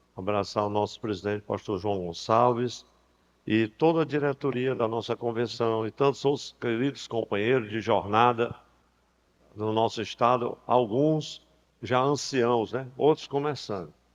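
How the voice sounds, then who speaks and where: Speaking at a fairly slow pace, a man uses ordinary pitch variation. His voice sits at a medium pitch. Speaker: pastor. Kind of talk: sermon. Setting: church convention with PA system. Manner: soft-spoken.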